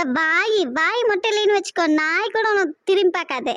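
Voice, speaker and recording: A woman in a cartoonish character voice, extremely high in pitch, with very even loudness. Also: moderate pace, ordinary pitch variation. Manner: sharp-tongued, scolding.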